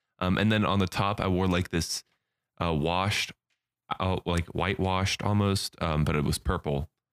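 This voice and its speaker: A man speaks with a very deep, low pitch and fairly even intonation, leaving long, frequent pauses. The sound is dry and close, with no echo. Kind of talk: casual chat.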